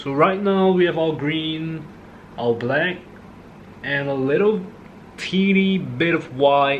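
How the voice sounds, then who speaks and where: With audible room echo and noticeable background noise, a man speaks very slowly at a fairly high pitch, leaving long, frequent pauses, with ordinary pitch variation. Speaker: art hobbyist youtuber. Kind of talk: painting tutorial, casual chat. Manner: soft-spoken; relaxed.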